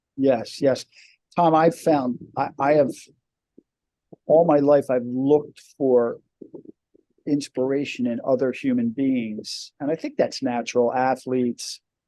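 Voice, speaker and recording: Through a dry, close sound with no echo, a man speaks with a fairly high pitch and a dark, mellow tone, fairly even in intonation, at a fairly slow pace with long, frequent pauses. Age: 60s. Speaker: deacon. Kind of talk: podcast interview. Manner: halting, many repeated words.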